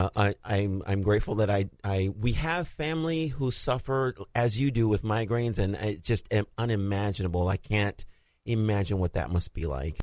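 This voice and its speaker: Against a quiet background, a man with an American accent and a fairly low pitch talks at a moderate pace with lively intonation. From New York City. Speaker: radio co-host. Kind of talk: radio talk show. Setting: studio. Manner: halting.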